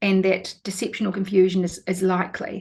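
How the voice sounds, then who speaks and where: A somewhat breathy woman's voice at medium pitch. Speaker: lawyer. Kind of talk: interview. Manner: fast.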